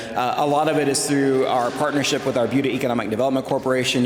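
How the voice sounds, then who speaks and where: Audible room echo and noticeable background noise surround the voice. It belongs to a man with a medium pitch. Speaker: city manager. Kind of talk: public talk to event audience. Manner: soft-spoken.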